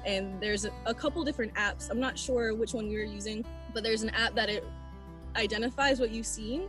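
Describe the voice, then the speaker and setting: A woman speaks in a dry sound with no echo. Clear music plays in the background. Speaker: guest. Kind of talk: interview answer. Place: forest. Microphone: video call.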